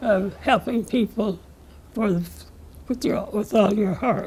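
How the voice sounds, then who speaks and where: The speaker has an American accent. The voice is somewhat breathy. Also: woman. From Pennsylvania. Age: 80s+. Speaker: civil rights leader. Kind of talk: interview answer.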